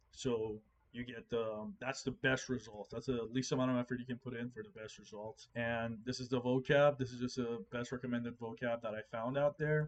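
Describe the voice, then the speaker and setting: With fairly even intonation, an unremarkable speaking voice goes along at a fairly quick pace. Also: man, medium pitch for a man, hardly any pauses. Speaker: programming tutorial creator. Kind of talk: tutorial.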